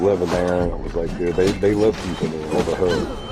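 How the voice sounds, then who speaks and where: Music plays behind a man with a very deep, low pitch who speaks with fairly even intonation. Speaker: livestreamer. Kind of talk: casual chat.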